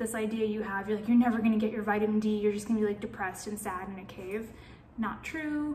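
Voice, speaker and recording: Amid audible room echo, a woman with an American accent talks very fast at a fairly high pitch. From New York, then Atlanta from age 15. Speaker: vlogger. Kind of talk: casual vlog monologue. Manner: rambling, filler-heavy.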